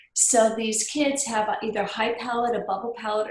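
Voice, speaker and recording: Fairly high in pitch, a woman speaks at a moderate pace with fairly even intonation amid audible room echo. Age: 50s. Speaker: health practitioner. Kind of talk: podcast interview.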